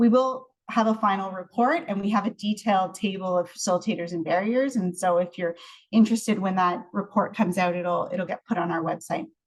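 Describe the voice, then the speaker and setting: A woman with a Canadian accent talks at a fairly quick pace with hardly any pauses, her medium-pitched, somewhat breathy voice showing ordinary pitch variation. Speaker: research scientist and professor. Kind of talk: research presentation. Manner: fast.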